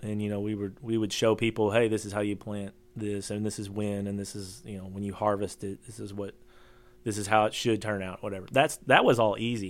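In a Kentucky accent, the speaker talks at a fairly quick pace with monotone, flat intonation. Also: man. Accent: Kentucky Southern. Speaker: homesteader and social media creator. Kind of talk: casual interview chat.

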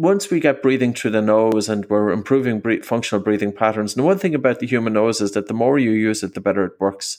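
In a very clean recording with a silent background, a man has a plain, everyday voice at a medium pitch with ordinary pitch variation. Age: 40s. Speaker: breathing coach and author. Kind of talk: interview.

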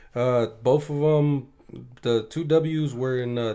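This man has an American accent and a fairly high pitch. His tone is dark and mellow, and his intonation stays fairly even. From US West Coast, Bakersfield, California. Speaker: boxing coach and amateur fighter. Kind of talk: casual chat.

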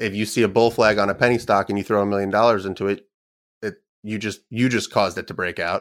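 A man speaks very fast in a fairly low pitch with monotone, flat intonation. The recording is very clean, with a silent background. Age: 30s. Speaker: trader and trading program developer. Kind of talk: casual interview.

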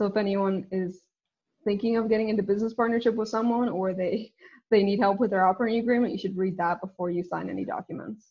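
A woman speaks at a very fast pace. Her medium-pitched voice is somewhat breathy. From Northern Ireland. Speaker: company co-founder and CEO. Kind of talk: interview. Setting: video call.

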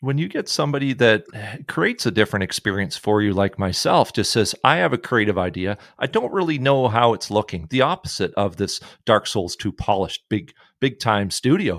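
Recorded very cleanly with a silent background and a dry, close sound with no echo, a man speaks fairly quickly at a fairly low pitch with lively intonation. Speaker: podcast host. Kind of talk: casual interview, joking. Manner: jokey, rambling, halting.

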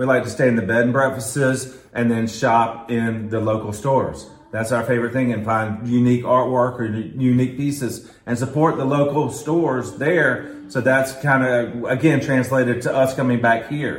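A man with a Southern US accent talks at a moderate pace with hardly any pauses and fairly even intonation, with audible room echo and noticeable background noise. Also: medium pitch for a man. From US South, north Florida (Quincy). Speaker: shop owner. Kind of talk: casual interview.

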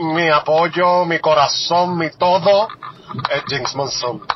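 Noticeable background noise sits under a man who talks very slowly. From Puerto Rico, Juana Díaz. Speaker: listener leaving voicemail. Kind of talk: voicemail message. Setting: phone voicemail.

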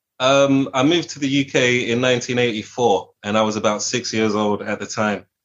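In a plain, everyday voice, a man speaks at a moderate pace with hardly any pauses, his pitch medium and his intonation fairly even. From England, with early childhood in Washington DC. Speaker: musician. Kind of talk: interview.

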